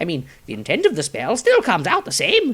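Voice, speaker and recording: Putting on a character voice, a man talks at a fairly quick pace in an extremely high pitch. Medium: read story. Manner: grandiose, earnest, rambling.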